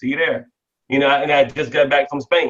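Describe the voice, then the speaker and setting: A man with a fairly high pitch speaks in an American accent. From Washington DC. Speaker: network marketing team leader. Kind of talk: interview. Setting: webinar call. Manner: fast, excited, occasional stutter.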